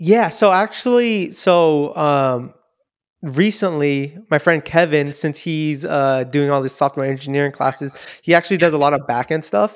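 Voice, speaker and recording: A man with a Californian accent speaks at fairly high pitch and moderate pace with ordinary pitch variation. The recording is very clean with a silent background. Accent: Californian American English. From US West Coast, Daly City (Bay Area). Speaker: software engineer. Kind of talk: casual chat.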